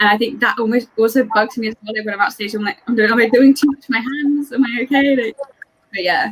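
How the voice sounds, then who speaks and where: With an English accent, a woman speaks at a very fast pace in a fairly high pitch, her intonation fairly even. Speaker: scrunchie maker, theatre fan. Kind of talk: casual video chat.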